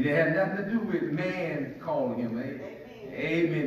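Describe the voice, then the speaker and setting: A man's high-pitched voice with lively intonation, audible room echo and light background noise. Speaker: pastor. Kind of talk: sermon. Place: church.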